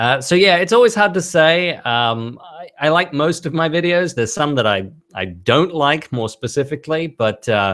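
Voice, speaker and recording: A man with an Australian accent talks at a moderate pace and a fairly high pitch, barely pausing. His pitch swings very widely, on a very clean recording with a silent background. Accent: mild Australian, taken for British by viewers. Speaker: YouTube creator of toy train parody videos. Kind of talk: live stream Q&A. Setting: live stream. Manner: hesitant, many fillers.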